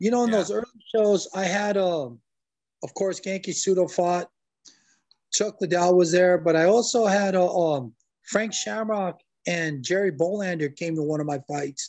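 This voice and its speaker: With an American accent and a high pitch, a man speaks at a moderate pace against a quiet background. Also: ordinary pitch variation. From Southern California. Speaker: MMA referee and high school wrestling coach; high school wrestling coach. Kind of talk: interview. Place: home room. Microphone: video call.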